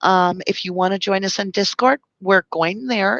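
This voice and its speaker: Here a woman speaks fairly slowly at a medium pitch. The sound is dry and close with no echo, and the background is quiet. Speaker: YouTube channel host discussing true crime case. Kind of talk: live stream outro, casual address to viewers. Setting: live stream. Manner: stumbling over words today.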